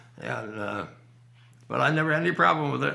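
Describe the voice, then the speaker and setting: A man does the talking. Noticeable noise sits in the background. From Vermont. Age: 80s+. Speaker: retired dairy farmer. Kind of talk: interview answer. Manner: hesitant, reminiscing.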